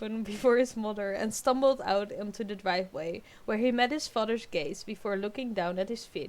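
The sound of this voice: An unforced reading voice. Its pitch varies in an ordinary way.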